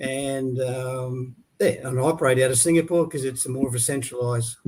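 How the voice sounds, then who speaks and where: With an Australian accent, a man speaks at a moderate pace and medium pitch, his intonation fairly even and his voice somewhat breathy. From Australia, Brisbane. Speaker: leadership coach. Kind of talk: interview.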